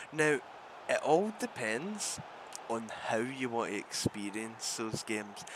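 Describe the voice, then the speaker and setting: A man with a Glaswegian accent at a medium pitch and a very slow pace, with ordinary pitch variation and noticeable background noise. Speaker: gaming tech YouTuber. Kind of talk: casual talk-to-camera discussion. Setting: recorded with gameplay in background.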